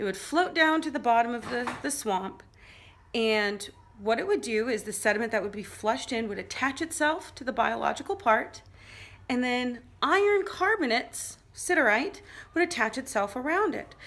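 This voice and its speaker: A woman with an American accent speaks at a moderate pace in a high pitch. Her pitch swings very widely. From US Midwest, Illinois. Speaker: geology teacher. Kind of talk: tutorial. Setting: garage. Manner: casual, conversational. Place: home room. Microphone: phone near.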